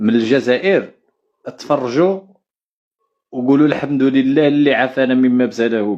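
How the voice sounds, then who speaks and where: A man with a Moroccan accent speaks fairly slowly at a medium pitch with ordinary pitch variation. Long pauses come often. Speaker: live stream host. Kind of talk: casual live stream chat.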